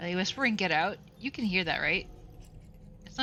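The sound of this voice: This is an unforced reading voice. Nothing more is heard.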